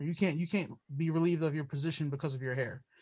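Against a quiet background, a man with an American accent speaks in a high pitch. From Brooklyn, New York. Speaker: podcast host.

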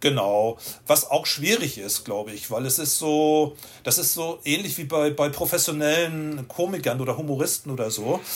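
In a very clean recording with a silent background, a man with a fairly high pitch speaks at a moderate pace with ordinary pitch variation and an unremarkable speaking voice. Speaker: street photographer. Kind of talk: interview.

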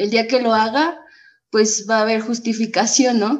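This woman's voice sits at a fairly high pitch. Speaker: AA member. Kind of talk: testimony.

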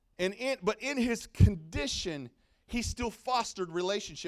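A man is speaking. His tone is animated. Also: very clean recording, silent background. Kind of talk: sermon. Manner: animated, rallying, call-and-response with the congregation; conversational, emphatic and punchy, with bursts of laughter.

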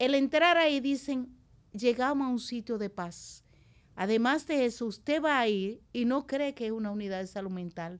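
Recorded very cleanly against a silent background, a woman talks at a moderate pace in a high pitch with lively intonation. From Dominican Republic, La Vega countryside. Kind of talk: interview conversation.

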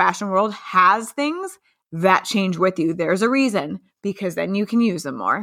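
On a very clean recording with a silent background, a woman with an unremarkable speaking voice talks at a medium pitch and a moderate pace. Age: 30s. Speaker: podcast co-host. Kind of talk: casual chat.

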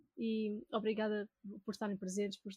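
A woman talks at a moderate pace in a fairly high pitch. Her voice is somewhat breathy. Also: dry, close sound with no echo. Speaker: gaming podcast co-host. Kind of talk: casual chat; news reading.

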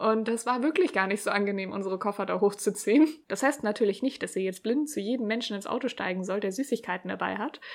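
The speech moves at a very fast pace with hardly any pauses. Its pitch variation is ordinary. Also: woman, medium pitch for a woman. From Germany, Hamburg. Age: 30s. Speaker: podcast host, blogger. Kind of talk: solo podcast monologue.

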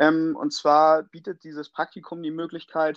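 A man's fairly high voice comes through at a moderate speed. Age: 30s. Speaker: plumbing and heating master craftsman. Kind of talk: interview. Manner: hesitant, many filler sounds.

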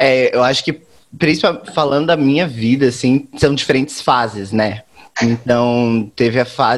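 A man's unremarkable speaking voice, moderate pace and ordinary pitch variation. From Brazil, Campo Grande (Mato Grosso do Sul). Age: 20s. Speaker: guest discussing television. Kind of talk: casual chat.

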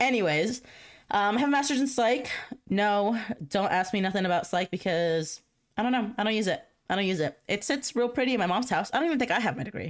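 A woman at a fairly high pitch, very fast and animated, with lively intonation, very even loudness and a very clean recording with a silent background. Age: 20s. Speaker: podcast host. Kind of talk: casual chat. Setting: home.

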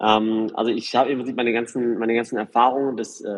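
Medium in pitch, a man speaks at a moderate pace. His intonation is monotone and flat. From Germany, Karlsruhe region. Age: 40s. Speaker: real estate developer and former DJ. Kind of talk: interview. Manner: hesitant, many filler sounds.

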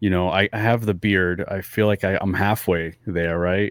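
The recording is very clean, with a silent background and a dry, close sound with no echo. A man speaks with a very deep, low pitch and fairly even intonation. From New England (Fall River, Massachusetts). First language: not English. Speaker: podcast co-host. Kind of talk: casual chat.

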